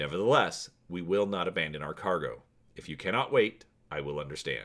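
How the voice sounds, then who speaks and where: A man puts on a character voice, very deep and low-pitched, with ordinary pitch variation. He talks at a fairly quick pace, and his loudness swings widely. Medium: read story. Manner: calm, formal, measured.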